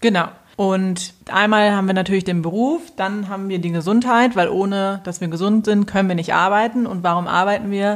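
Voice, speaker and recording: A woman with a plain, everyday voice, medium in pitch, at a moderate pace with fairly even intonation. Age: 30s. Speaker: podcast host and financial coach. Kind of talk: casual chat.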